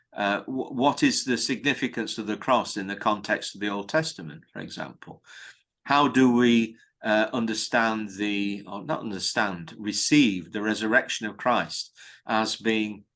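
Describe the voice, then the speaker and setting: Over a quiet background, a man with a British accent talks at a moderate pace, his fairly low voice bright and sharp in tone, with ordinary pitch variation. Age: 70s. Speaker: priest. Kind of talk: interview. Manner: hesitant fillers.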